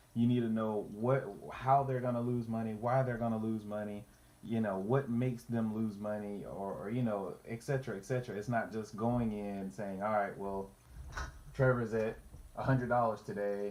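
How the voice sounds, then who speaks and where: His pitch sits in the medium range and his intonation stays fairly even. This man has a plain, everyday voice and talks at a moderate pace. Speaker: finance youtuber. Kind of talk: tutorial. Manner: casual, repetitive false starts.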